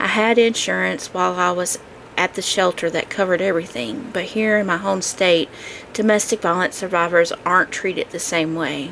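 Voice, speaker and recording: Amid noticeable background noise, a woman with a fairly low pitch talks at a moderate pace. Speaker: podcaster sharing abuse recovery. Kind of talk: personal testimony monologue. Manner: halting, speech edited for mistakes.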